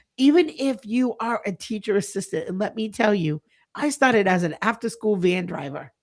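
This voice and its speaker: The recording is very clean, with a silent background. A woman talks at a moderate pace in an ordinary speaking voice with a fairly high pitch. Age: 50s. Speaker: early childhood center owner and leadership coach. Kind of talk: podcast interview.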